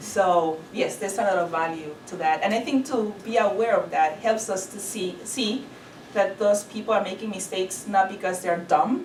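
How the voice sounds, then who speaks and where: A woman with a Spanish accent talks at a medium pitch with ordinary pitch variation. Noticeable background noise and audible room echo fill the recording. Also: moderate pace. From Honduras. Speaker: ESL instructor. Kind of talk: lecture.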